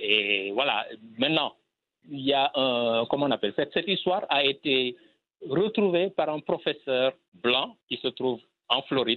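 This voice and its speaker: At a fairly slow pace with long, frequent pauses, a man speaks in a fairly high pitch with lively intonation. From Senegal. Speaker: filmmaker. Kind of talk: interview.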